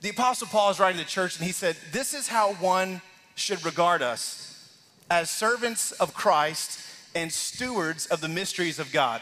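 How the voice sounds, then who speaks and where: A man's raised, projected voice carries lively intonation. He keeps a moderate pace. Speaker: lead pastor. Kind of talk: sermon. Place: church.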